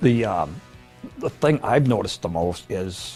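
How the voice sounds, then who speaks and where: Music plays in the background. A man talks at a moderate pace with lively intonation. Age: 70s. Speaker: woodworker. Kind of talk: interview answer. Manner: hesitant.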